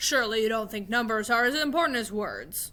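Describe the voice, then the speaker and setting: A woman performs a put-on character voice at a fairly high pitch. She moves at a fairly quick pace. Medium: read story. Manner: grand, emphatic, shouting.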